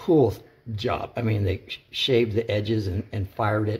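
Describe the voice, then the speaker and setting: A somewhat breathy man talks at a moderate pace, his fairly low pitch carried with fairly even intonation. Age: 60s. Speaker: artist and scientific illustrator, former teacher. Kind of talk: casual tutorial. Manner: halting, many fillers and restarts.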